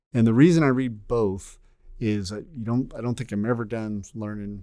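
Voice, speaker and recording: A man's dark, mellow voice at a medium pitch, moderate pace and ordinary pitch variation. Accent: American. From Texas. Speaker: air force general. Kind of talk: interview.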